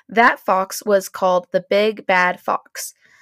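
Recorded very cleanly against a silent background, a woman talks in an animated tone, the sound dry and close with no echo. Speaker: podcast host. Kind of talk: casual chat, reading aloud from old books. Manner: animated, laughs often.

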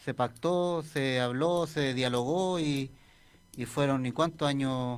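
A man at a very slow pace, pitched fairly high. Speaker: radio co-host. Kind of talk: casual chat. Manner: animated.

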